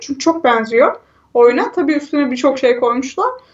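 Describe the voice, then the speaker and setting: A woman's high voice moves along at a fairly quick pace. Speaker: gaming video host. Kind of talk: casual chat. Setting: remote recording, separate mics.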